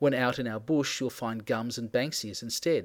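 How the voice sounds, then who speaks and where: A man with an Australian accent speaks at a fairly quick pace with ordinary pitch variation in a very clean recording with a silent background. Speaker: book reviewer. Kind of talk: reading aloud of personal essay. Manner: wry, sardonic delivery.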